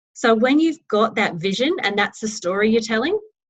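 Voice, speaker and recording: A woman with an Australian accent, fairly high and somewhat breathy, with lively intonation. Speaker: network marketing team leader. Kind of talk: team training talk. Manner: enthusiastic.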